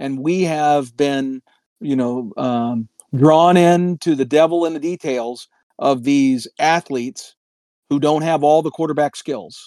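With a normal speaking voice, this man talks at a fairly slow pace and fairly high pitch, ordinary pitch variation, and a dry, close sound with no echo. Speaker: podcast co-host. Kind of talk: casual chat. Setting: in Florida, drinking beer while recording.

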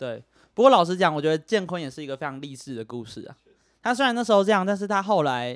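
A man in a Taiwanese accent, fairly high-pitched and animated, at a very fast pace, with very wide pitch swings, big swings in loudness, and a very clean recording with a silent background. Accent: Taiwanese Mandarin. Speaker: podcast host. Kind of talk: casual chat. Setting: home recording with microphones.

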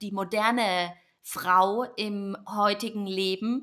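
A woman talks very slowly, her intonation fairly even and her pitch fairly high. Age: 30s. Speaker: podcast host and yoga teacher. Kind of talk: solo podcast intro monologue.

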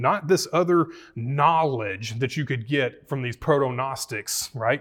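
In a very clean recording with a silent background, a man with a Southern US accent talks at a moderate pace and medium pitch, his intonation lively. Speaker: pastor. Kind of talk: Bible study teaching with prayers. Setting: church room with live audience.

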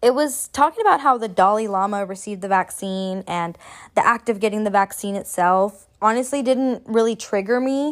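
A woman's fairly high-pitched voice at a moderate pace with ordinary pitch variation, in a very clean recording with a silent background. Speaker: podcast host, astrologer and tarot reader. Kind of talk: casual solo monologue. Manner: frequent laughter, casual with fillers.

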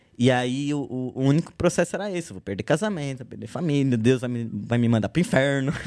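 In a normal speaking voice at medium pitch, a man moves at a fairly quick pace with hardly any pauses and big swings in loudness. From São Paulo, Zona Norte. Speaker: graffiti artist. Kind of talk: casual chat.

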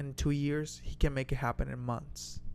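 With music playing behind him, a man talks at a fairly slow pace in a medium pitch, his intonation monotone and flat. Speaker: podcast co-host. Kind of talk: casual conversational podcast.

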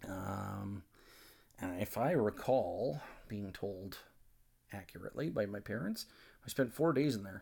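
The speaker has a Canadian accent and ordinary pitch variation. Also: man. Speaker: podcast host. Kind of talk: angry rant, profane and sweary, unscripted. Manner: rapid, heated, loud, swearing and stumbling over repeated words; sarcastic, blunt, rambling, ad-libbed.

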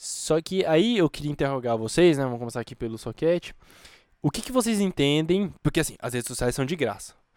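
Fairly quick speech from a man at a fairly high pitch, very wide pitch swings, very clean recording with a silent background. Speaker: podcast co-host. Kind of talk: casual chat.

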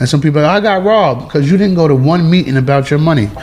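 Against noticeable background noise, a man with a New York accent talks at a very fast pace with ordinary pitch variation. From New York (Flushing, Queens). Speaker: rapper. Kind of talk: casual interview. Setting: penthouse apartment, New York City. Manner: halting, repetitive.

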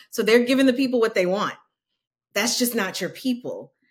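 A plain, everyday voice from a woman with an American accent, fairly quick and fairly even in intonation, on a very clean recording with a silent background. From New Orleans, US South. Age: 40s. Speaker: nonprofit leader in diversity and entrepreneurship. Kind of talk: casual interview chat.

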